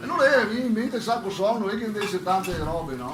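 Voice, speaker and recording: A man with a Venetian accent, over noticeable background noise. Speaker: amateur joke teller. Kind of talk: joke telling. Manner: jovial, contagious laugh.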